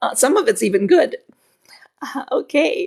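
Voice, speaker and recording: A loud woman's voice with lively intonation at a moderate pace. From Philippines. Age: 50s. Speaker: relationship coach. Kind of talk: live stream Q&A. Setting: livestream with mic and headphones. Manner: pressured pitch.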